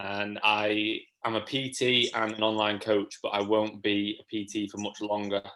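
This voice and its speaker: In an East Midlands accent, a man speaks at a fairly low pitch with a monotone, flat intonation. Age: 20s. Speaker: natural bodybuilder and online fitness coach. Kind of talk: casual chat.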